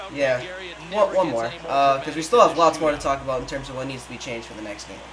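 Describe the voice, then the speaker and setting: Speaking at a very fast pace, a man uses a fairly high pitch and ordinary pitch variation. His loudness swings widely, and noticeable background noise is present. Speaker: gaming commentator. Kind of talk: casual video game commentary.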